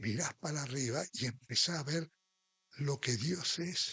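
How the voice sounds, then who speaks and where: Somewhat breathy, a man speaks with lively intonation in a dry, close sound with no echo. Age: 70s. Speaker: preacher. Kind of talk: sermon.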